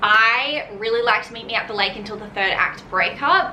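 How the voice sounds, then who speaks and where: A woman with an Australian accent speaks at a fairly high pitch and a moderate pace, in an animated tone with ordinary pitch variation. Noticeable background noise and audible room echo surround her. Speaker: book YouTuber. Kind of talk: casual chat.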